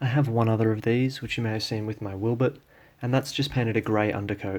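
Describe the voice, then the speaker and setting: With an Australian accent, a man at a medium pitch speaks at a very fast pace with fairly even intonation, on a very clean recording with a silent background. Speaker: model train hobbyist. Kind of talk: casual talk to camera. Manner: hesitant.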